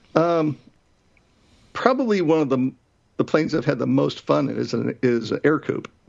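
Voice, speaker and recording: A man speaks at a moderate pace. His speech has long, frequent pauses. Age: 60s. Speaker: flight school owner and flight instructor. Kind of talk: interview. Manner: halting.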